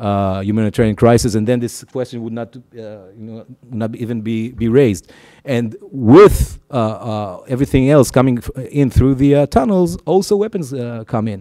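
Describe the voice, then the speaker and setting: Speaking at a moderate pace with hardly any pauses, a man with a dark, mellow tone and medium pitch shows ordinary pitch variation and big swings in loudness. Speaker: human rights organization director. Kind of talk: panel talk. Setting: room with audience. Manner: halting, many fillers.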